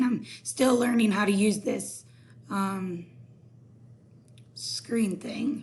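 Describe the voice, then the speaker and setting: A woman speaks with vocal fry and a fairly even intonation. Her speech is broken by long, frequent pauses. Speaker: math teacher. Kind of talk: tutorial.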